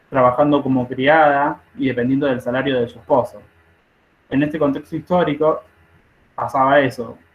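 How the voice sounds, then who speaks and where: At a moderate pace, a man with a fairly high pitch talks with monotone, flat intonation. Long, frequent pauses break his speech, and his loudness swings widely. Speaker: nursing study group leader. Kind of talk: online study group lecture.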